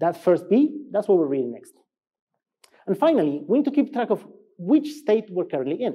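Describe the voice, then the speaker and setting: With an Argentine accent, the speaker talks at a fairly quick pace with very wide pitch swings over a quiet background. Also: man. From Argentina. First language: Spanish. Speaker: software engineer, conference speaker; conference speaker. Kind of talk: conference talk. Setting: stage with audience. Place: stage.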